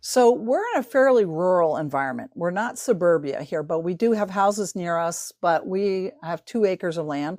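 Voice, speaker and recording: An unremarkable speaking voice from a woman, medium in pitch, with lively intonation, a moderate pace and hardly any pauses, over a quiet background. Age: 60s. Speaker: science teacher. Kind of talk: casual interview.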